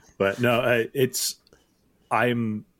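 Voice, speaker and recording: In a very clean recording with a silent background, a man speaks at a medium pitch with vocal fry. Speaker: fantasy baseball analyst. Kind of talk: casual chat. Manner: halting.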